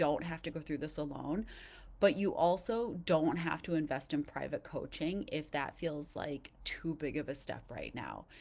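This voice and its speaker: In a very clean recording with a silent background, a woman speaks with vocal fry at a very deep, low pitch. Her pitch variation is ordinary and her pace moderate. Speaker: life and dating coach. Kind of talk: live coaching session. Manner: casual, filler-heavy.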